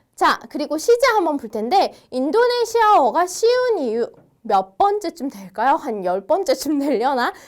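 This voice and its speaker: A woman's high voice at a fairly slow pace with very wide pitch swings. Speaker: language instructor. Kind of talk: lecture. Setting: online video lesson. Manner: friendly, explanatory.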